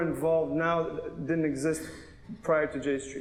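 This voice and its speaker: A man's voice, high-pitched for a man, with audible room echo. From Canada. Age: 30s. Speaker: attorney and pro-Israel activist. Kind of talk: panel debate. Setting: synagogue stage with audience.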